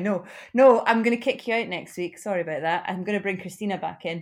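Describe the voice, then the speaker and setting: Speaking at a very fast pace, a woman with a Glaswegian accent uses a medium pitch and ordinary pitch variation. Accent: Glaswegian Scottish. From Glasgow, Scotland. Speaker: podcast co-host. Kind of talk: casual chat.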